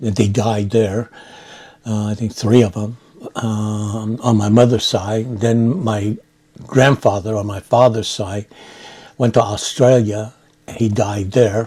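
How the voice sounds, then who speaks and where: A man with an American accent speaks in a fairly low, somewhat breathy voice with a dark, mellow tone. His delivery is very slow and monotone, with flat intonation and long, frequent pauses. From San Francisco, California. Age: 70s. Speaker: war veteran. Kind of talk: oral history interview. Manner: halting with many fillers.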